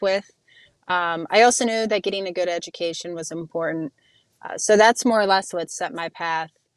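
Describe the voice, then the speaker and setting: A woman with an American accent and a normal speaking voice talks at a fairly low pitch with ordinary pitch variation, in a very clean recording with a silent background and a dry, close sound with no echo. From Ohio, Youngstown. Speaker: neuroscientist and soldier. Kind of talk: interview.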